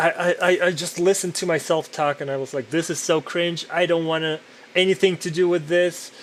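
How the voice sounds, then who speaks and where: Loud and in a monotone, flat intonation, a man with a high pitch speaks at a fairly quick pace. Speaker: podcaster and digital artist. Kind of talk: casual monologue while working. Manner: halting with repetitions.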